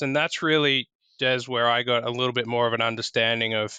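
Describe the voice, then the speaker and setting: A man with an Australian accent, medium in pitch and fairly quick in pace. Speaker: tech partnerships executive. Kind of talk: podcast interview. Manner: casual, frequent filler words.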